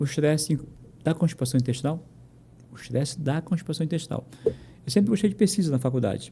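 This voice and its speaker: This man has a fairly high pitch, a dark, mellow tone, vocal fry and ordinary pitch variation. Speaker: physician. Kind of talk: interview. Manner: fast; animated.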